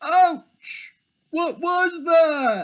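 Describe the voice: A man puts on a character voice at an extremely high pitch with a fairly bright tone. He goes at a very slow pace with lively intonation.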